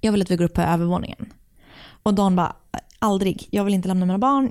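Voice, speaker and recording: Recorded very cleanly with a silent background, a woman speaks in a dark, mellow tone at medium pitch with fairly even intonation. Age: 30s. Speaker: true crime podcast co-host. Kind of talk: casual true crime storytelling.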